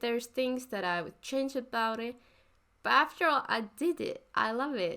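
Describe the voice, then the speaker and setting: Her voice is fairly high for a woman, with a bright, sharp tone. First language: not English. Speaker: art YouTuber. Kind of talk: voice-over commentary on drawing process. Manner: halting, self-correcting.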